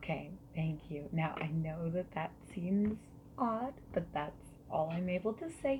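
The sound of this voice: A woman with a fairly low pitch, ordinary pitch variation and a fairly slow pace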